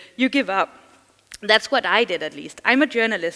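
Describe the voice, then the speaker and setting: A woman with a Danish accent, a bright, sharp tone and lively intonation. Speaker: journalist and digital security trainer. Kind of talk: conference talk. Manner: fast.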